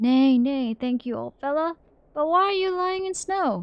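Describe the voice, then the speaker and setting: In a put-on character voice, a woman speaks at a moderate pace with a high pitch. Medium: game stream. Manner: braying interjections.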